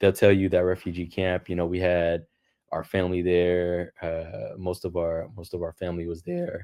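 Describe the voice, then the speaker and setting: A man speaks in a monotone with flat intonation and a very deep, low pitch, in a Los Angeles accent. His tone is dark and mellow, against a quiet background. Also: moderate pace. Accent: American English, Los Angeles. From US West Coast, Los Angeles. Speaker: engineering professor. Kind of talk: interview. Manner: hesitant, with fillers and repeats.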